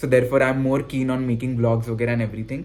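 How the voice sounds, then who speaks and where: The man's voice sits at a medium pitch and stays monotone and flat throughout. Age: 20s. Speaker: vlogger and medical student. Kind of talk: personal vlog monologue. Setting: speaking to camera. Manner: hesitant, many fillers.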